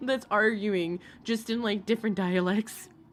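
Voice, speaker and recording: Over music in the background, a woman speaks in an animated tone at a fairly high pitch. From Alaska, moved around US. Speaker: livestreamer, commentary host. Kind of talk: livestream chat reading comments.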